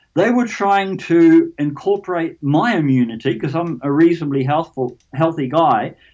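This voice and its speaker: A man with a New Zealand accent speaks at a high pitch. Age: 70s. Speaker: alien abduction experiencer. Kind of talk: interview. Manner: halting, repeats words.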